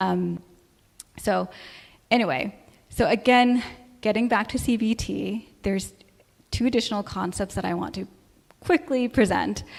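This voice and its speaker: A woman at a moderate pace, with long, frequent pauses. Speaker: church speaker on mental health. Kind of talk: talk. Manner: hesitant, many fillers.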